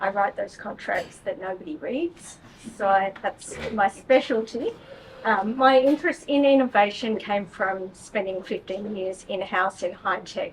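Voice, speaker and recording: A woman with an Australian accent speaks fairly slowly at a fairly high pitch. Her intonation is lively, and background noise is noticeable. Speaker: technology lawyer. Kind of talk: panel discussion.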